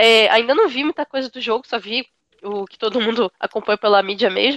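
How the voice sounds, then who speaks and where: The woman's pitch is high, with ordinary variation. The sound is dry and close, with no echo. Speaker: podcast panelist, university student. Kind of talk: casual chat.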